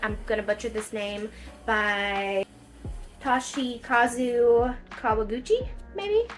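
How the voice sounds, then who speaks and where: With music in the background, a woman with a strong Southern US accent talks at a high pitch. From Kentucky, US South. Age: 30s. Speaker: book vlogger. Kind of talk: casual book review vlog. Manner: animated.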